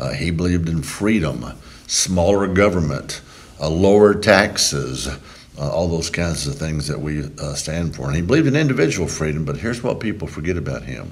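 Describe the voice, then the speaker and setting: A fairly quick voice with a Texan accent and lively intonation, over noticeable background noise and audible room echo. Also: man, very deep, low pitch for a man. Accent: Texan Southern US. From Texas, Brazoria County near Houston. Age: 60s. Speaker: politician. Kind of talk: interview.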